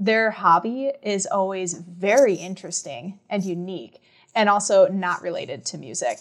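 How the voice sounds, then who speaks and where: With a Minnesota accent, a woman speaks at a medium pitch. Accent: northern US (Minnesota), getting thicker. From Minnesota (small town, south central). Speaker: music professor and band conductor. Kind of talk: interview conversation.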